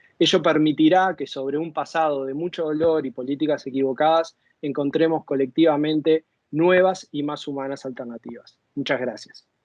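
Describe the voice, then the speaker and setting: This man has an unremarkable speaking voice at a fairly high pitch. He talks at a moderate pace with fairly even intonation. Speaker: former drug policy official. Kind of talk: conference talk. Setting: virtual conference.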